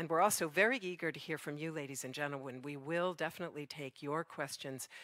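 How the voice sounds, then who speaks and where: Over a quiet background, a woman speaks with a bright, sharp tone and a very deep, low pitch, showing ordinary pitch variation in a dry sound with no echo. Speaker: event moderator. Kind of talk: event moderation introduction. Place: stage. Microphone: headset.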